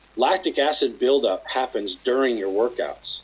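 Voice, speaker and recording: A man speaks with a Western US accent. His pace is moderate. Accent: American, western US. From Utah, near Salt Lake City. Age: 50s. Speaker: chiropractor and company founder. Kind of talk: casual interview.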